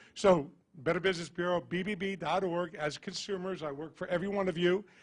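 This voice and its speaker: A man talks loudly at a very fast pace. His pitch is high, with fairly even intonation. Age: old. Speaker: business bureau executive. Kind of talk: closing remarks at panel event.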